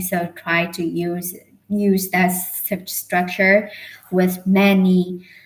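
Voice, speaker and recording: With flat, monotone intonation, a woman talks in a fairly low register. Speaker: English learner livestreamer. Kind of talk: casual livestream chat. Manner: slow; quiet, halting.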